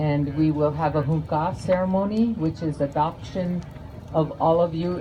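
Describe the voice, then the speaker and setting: A woman with an American accent and a very deep, low pitch speaks at a moderate pace with ordinary pitch variation over noticeable background noise. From Lakota, Standing Rock, USA. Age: old. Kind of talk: speech to a gathering.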